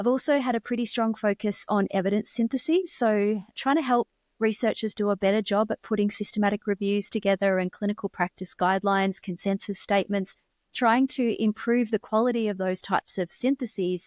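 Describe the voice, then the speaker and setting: Speaking at a fairly quick pace with an Australian accent, a woman uses a fairly high pitch and very even loudness in a dry, close sound with no echo. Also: ordinary pitch variation, very clean recording, silent background. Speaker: physical therapy researcher and professor. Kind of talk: podcast interview. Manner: formal.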